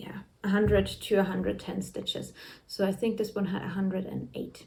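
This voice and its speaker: A woman speaks at a moderate pace, with noticeable background noise present. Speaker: knitting vlogger. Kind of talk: casual chat.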